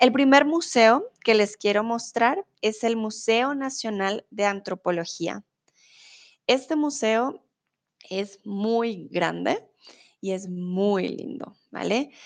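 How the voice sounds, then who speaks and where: Over a quiet background, a woman speaks very slowly at a fairly high pitch with lively intonation. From Colombia. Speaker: Spanish tutor. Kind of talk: live-stream lesson. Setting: live stream with chat.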